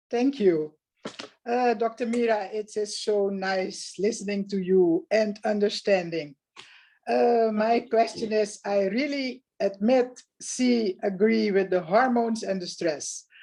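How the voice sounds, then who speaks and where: At a very slow pace, a woman speaks in a fairly high pitch with a dark, mellow tone. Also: ordinary pitch variation. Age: 60s. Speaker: caller with a health question. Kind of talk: casual chat.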